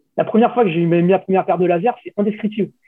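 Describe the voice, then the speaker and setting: This man has a high-pitched voice. His pitch moves up and down an ordinary amount. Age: 40s. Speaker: skating website founder. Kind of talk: interview.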